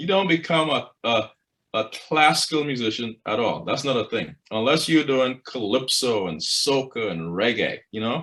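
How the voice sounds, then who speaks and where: With a Trinidadian accent, a man speaks at a medium pitch in a bright, sharp tone, with lively intonation and vocal fry. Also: moderate pace. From Trinidad and Tobago. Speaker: choral conductor and professor. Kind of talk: interview.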